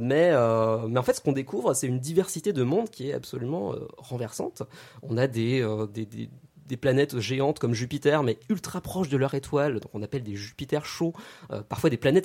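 Speaking at a moderate pace, a man uses lively intonation in a dark, mellow tone at medium pitch. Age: 30s. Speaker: astrophysicist and science YouTuber. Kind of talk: radio interview.

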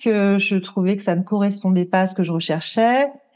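The speaker is a woman at medium pitch. She keeps her intonation fairly even. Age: 40s. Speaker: ayurveda consultant. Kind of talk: interview. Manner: hesitant, many fillers.

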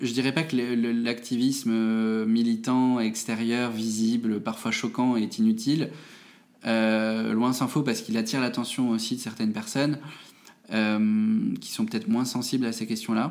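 Speaking at a fairly slow pace, a man keeps a medium pitch with monotone, flat intonation. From France, Moselle (Metz). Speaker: think tank director. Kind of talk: interview. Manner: hesitant, many fillers.

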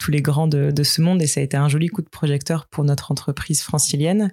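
A woman speaks with a very deep, low pitch. Her tone is dark and mellow, with fairly even intonation. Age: 30s. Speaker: company executive. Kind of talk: interview. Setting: outdoors on a terrace.

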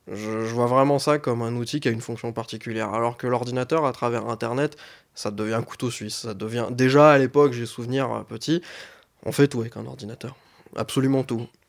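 A normal speaking voice from a man, medium in pitch, fairly quick, with fairly even intonation. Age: 20s. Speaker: IT engineer. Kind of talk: interview.

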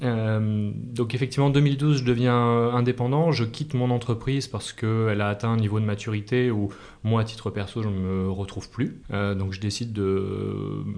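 At medium pitch, a man talks at a moderate pace with fairly even intonation. He takes hardly any pauses. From Massif Central, France (Clermont-Ferrand). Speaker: entrepreneur and adventurer. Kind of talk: interview. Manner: hesitant with filler repetitions.

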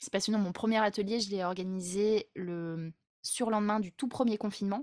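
In a normal speaking voice, a woman speaks at a moderate pace with fairly even intonation, the sound dry and close with no echo on a very clean recording with a silent background. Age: 30s. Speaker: group facilitator. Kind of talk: interview conversation.

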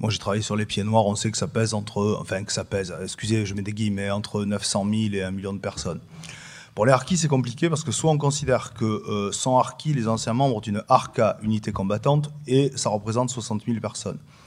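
In a very clean recording with a silent background, a man uses an ordinary speaking voice, fairly low in pitch, at a fairly quick pace with ordinary pitch variation. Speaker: political science professor. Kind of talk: panel discussion.

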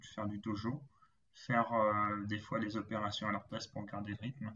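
The speaker is a man. His pitch is medium. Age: 20s. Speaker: logistics manager and amateur runner. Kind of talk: interview. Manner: halting.

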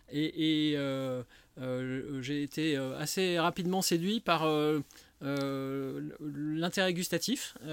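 The man's delivery is extremely slow. His intonation rises and falls normally. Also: fairly high pitch for a man. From Lyon, France. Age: 50s. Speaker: wine shop owner. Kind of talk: casual interview. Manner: halting, many fillers.

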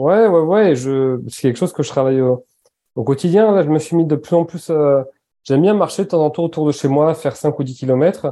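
Against a quiet background, a man with a dark, mellow tone talks fairly quickly at a fairly high pitch with ordinary pitch variation. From French Basque Country. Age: 30s. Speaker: entrepreneur, founder of a clothing brand. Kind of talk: interview conversation. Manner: halting, with many repetitions.

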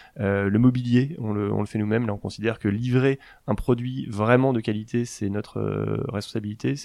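The voice has a dark, mellow tone, ordinary pitch variation and a moderate pace over a quiet background. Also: man, fairly low pitch for a man. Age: 40s. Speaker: startup founder. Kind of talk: interview. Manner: halting.

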